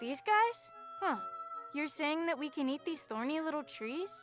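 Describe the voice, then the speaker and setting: Set over clear background music, a put-on character voice speaks at a moderate pace with a high pitch. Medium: fan dub. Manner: excitable.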